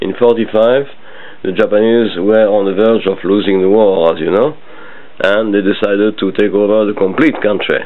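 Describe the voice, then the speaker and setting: With a French accent, a man speaks at a fairly low pitch and moderate pace. His intonation is fairly even, and there is noticeable background noise. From French Indochina. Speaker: interviewee recalling his life. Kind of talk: family oral history interview. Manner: halting with many fillers.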